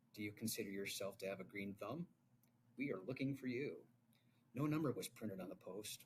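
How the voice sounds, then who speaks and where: A man with a medium pitch talks at a fairly quick pace, broken by long, frequent pauses. His voice is somewhat breathy, and his intonation is lively. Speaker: podcast co-host. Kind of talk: reading aloud; casual chat. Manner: fast.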